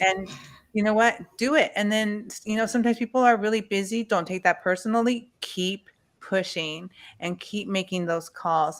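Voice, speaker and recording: A woman speaks at a moderate pace in a medium pitch with ordinary pitch variation, a plain, everyday voice. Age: 40s. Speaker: webinar panelist. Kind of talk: webinar discussion.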